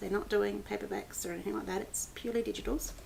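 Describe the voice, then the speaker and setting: In an Australian accent, a woman talks in an animated tone. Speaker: book blogger. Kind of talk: casual vlog book review. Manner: animated, with many fillers.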